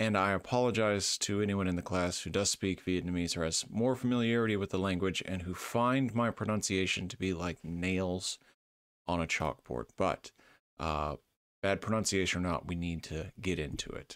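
Dry sound with no echo over a quiet background. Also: man, very deep, low pitch for a man, ordinary pitch variation, moderate pace. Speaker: university lecturer. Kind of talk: lecture.

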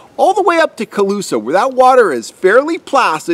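A man's pitch swings very wide while he keeps a moderate pace. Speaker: fishing guide. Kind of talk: tutorial. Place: forest.

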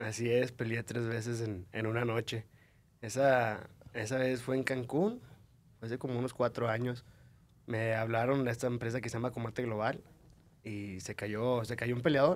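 A man talks at a moderate pace in a flat, monotone intonation, with long, frequent pauses. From Mexico, Monterrey; Nuevo León, Mexico. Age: 20s. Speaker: mixed martial arts fighter; podcast guest. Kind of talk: casual chat. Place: studio. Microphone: studio mic.

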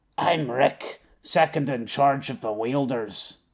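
In a put-on character voice, a man speaks at medium pitch, gravelly and at a fairly slow pace.

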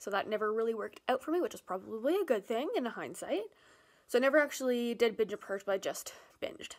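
A woman at a fairly high pitch with ordinary pitch variation, quiet background. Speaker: vlogger. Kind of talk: personal story read from a script to camera. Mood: candid, personal, serious. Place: home room. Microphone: phone near.

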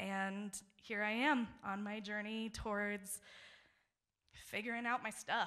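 Against a quiet background, a woman talks fairly slowly in a bright, sharp tone with monotone, flat intonation. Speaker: social work graduate student; storyteller. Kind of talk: live storytelling. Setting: stage with audience. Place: stage. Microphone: handheld.

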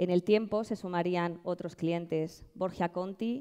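In a Madrid accent, a woman speaks very slowly with a dark, mellow tone, fairly low pitch and fairly even intonation against a quiet background. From Madrid, Spain; Spain. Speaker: social entrepreneur. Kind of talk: award presentation speech. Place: stage. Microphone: headset.

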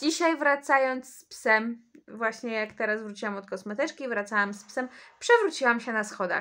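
Her tone bright and sharp, a woman speaks at a fairly slow pace against a quiet background. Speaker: vlogger. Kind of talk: casual vlog chat. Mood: wry, slightly complaining. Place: home room. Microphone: phone near.

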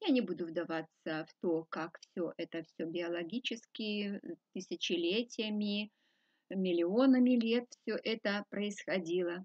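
The background stays quiet. This woman speaks very slowly. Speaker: spiritual teacher. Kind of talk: lecture. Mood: calm, earnest. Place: home room. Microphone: webcam.

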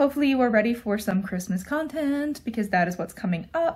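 Lively intonation marks this woman's somewhat breathy voice. The background is quiet. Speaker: vlogger. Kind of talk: casual vlog chat. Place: home room. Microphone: phone near.

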